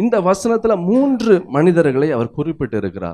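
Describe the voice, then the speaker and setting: Very wide pitch swings run through this man's dark, mellow tone. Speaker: pastor, preacher.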